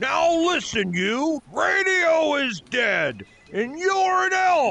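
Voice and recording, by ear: Doing a cartoonish character voice, a man speaks slowly at an extremely high pitch, with big pitch swings, vocal fry, and a bright, sharp tone.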